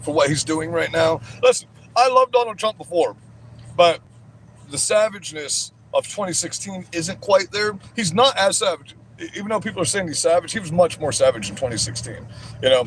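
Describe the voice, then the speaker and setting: Loud and animated, the voice moves at a fairly quick pace with very wide pitch swings. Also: man. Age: 40s. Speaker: livestreamer. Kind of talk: livestream chat.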